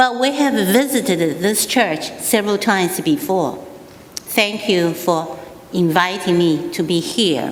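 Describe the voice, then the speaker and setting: With a Taiwanese accent, a woman talks at a fairly slow pace with lively intonation and very even loudness, amid audible room echo and noticeable background noise. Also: medium pitch for a woman. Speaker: state representative. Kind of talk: speech at a church anniversary. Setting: stage with audience.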